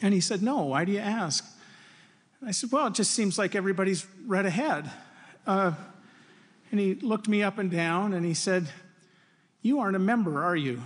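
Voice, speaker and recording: Despite long, frequent pauses, the speaker moves at a fairly quick pace with lively intonation and an Upper Midwest accent against a quiet background. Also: man, high pitch for a man. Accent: Upper Midwest American. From Wisconsin. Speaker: university faculty speaker. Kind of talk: devotional address.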